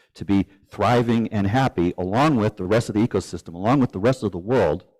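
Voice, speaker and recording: Recorded very cleanly against a silent background, a man talks at a fairly quick pace in a fairly low pitch with ordinary pitch variation, the sound dry and close with no echo. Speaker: speaker giving a talk. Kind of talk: live presentation. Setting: event with live audience. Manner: fast.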